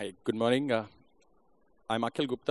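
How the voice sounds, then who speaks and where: A man speaks at a medium pitch with an Indian accent. The sound is dry and close with no echo, over a quiet background. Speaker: audience member asking a question. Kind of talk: audience question.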